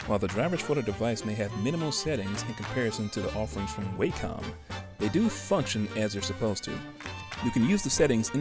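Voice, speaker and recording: Very fast, lively-intoned speech with an American accent, music playing in the background. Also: man. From Chicago. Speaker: tech reviewer. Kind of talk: product review narration.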